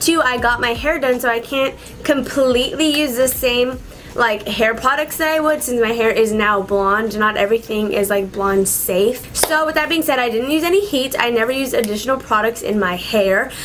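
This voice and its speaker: Noticeable background noise sits under a woman's high voice. Her loudness stays very even, with ordinary pitch variation. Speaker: beauty vlogger. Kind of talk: casual vlog tutorial. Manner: fast.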